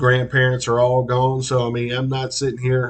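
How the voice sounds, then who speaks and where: A man speaks with an East Texas accent at medium pitch. His voice is somewhat breathy. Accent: East Texas drawl. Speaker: local interviewer and commentator. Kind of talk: monologue. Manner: casual, halting with fillers.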